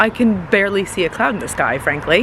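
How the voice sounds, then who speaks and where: With an American accent and an animated tone, a woman talks at a fairly quick pace with lively intonation amid noticeable background noise. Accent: sounds American. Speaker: travel vlogger. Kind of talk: casual vlog talk.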